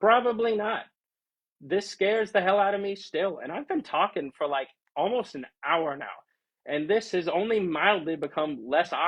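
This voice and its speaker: A loud man speaks with a high pitch and lively intonation. His pace is moderate. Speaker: streamer. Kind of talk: casual livestream chat.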